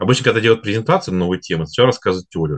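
Against a quiet background, a man speaks in a very deep, low pitch with lively intonation. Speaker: finance and automation consultant. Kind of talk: webinar presentation. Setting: online webinar broadcast. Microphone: webcam.

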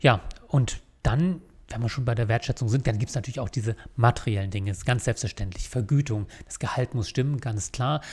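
Somewhat breathy, the voice moves at a fairly quick pace with ordinary pitch variation. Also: man. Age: 40s. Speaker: lawyer and law firm owner; lawyer. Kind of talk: scripted monologue to camera (recruiting video). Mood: calm, earnest. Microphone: studio mic.

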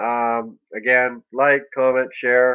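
A man's medium-pitched voice at a very slow pace. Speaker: gaming video commentator. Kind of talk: gameplay commentary. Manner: flat, not sounding excited.

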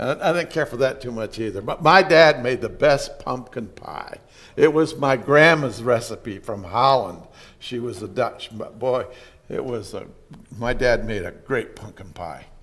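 A man talks at a fairly slow pace, his intonation lively. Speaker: pastor. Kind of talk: sermon. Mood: warm, nostalgic, light humor. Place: church.

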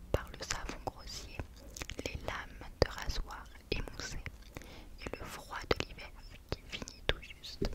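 Whispering at a very slow pace. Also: woman. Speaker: ASMR creator. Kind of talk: audiobook-style reading of a novel, whispered. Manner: whispered, soft. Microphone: studio mic.

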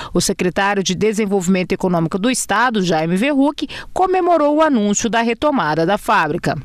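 A fairly quick delivery with a Brazilian accent and hardly any pauses. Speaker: TV news presenter. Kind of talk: news reading.

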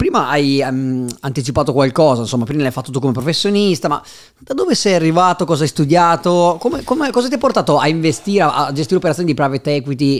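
At a very fast pace, a man speaks with lively intonation in a fairly high voice. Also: quiet background. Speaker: podcast host. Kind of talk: podcast interview. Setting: studio in Milan. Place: studio. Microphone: studio mic.

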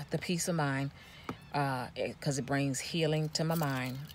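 A woman speaks with a very deep, low pitch at a fairly slow pace. Light background noise is present, and the sound is dry with no echo. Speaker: van traveler vlogger. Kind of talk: casual vlog chat. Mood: earnest, reflective. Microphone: phone near.

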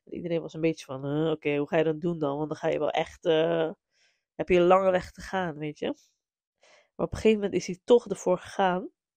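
Over a quiet background, a woman talks very fast with a fairly low pitch and a dark, mellow tone, her loudness swinging widely in a dry, close sound with no echo. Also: ordinary pitch variation. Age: 30s. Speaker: podcast host and music business legal advisor. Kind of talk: solo podcast monologue. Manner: animated; frequent code-switching to English.

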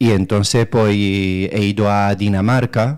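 A man's fairly low voice with a Romanian accent and fairly even intonation against a quiet background. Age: 30s. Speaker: local political candidate. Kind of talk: radio interview. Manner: hesitant, many fillers. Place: studio.

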